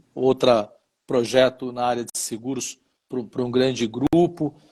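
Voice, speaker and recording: A man speaks at a very slow pace. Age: 60s. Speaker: insurance broker and former regulator. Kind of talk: interview on live stream. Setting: live stream.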